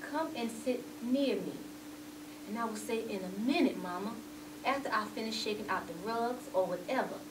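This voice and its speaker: There is noticeable background noise. A woman speaks at a moderate pace. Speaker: actor in a character monologue. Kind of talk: dramatic monologue recounting memories. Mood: warm, reminiscent. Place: studio.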